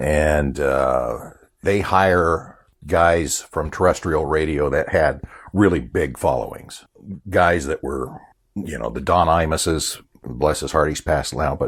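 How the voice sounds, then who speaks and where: This man talks at a very slow pace, his pitch very deep and low. Vocal fry runs through his speech, and his pitch varies an ordinary amount. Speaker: voiceover artist and former radio announcer. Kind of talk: interview answer. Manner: casual, self-deprecating.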